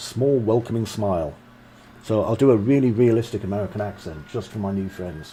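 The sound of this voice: Pitch variation here is ordinary. The reading voice is unforced.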